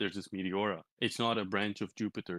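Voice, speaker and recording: A man speaks in a Turkish accent at a fairly low pitch, with monotone, flat intonation. The sound is dry and close, with no echo. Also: quiet background. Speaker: crypto community leader. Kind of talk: interview. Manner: halting, many repetitions and fillers.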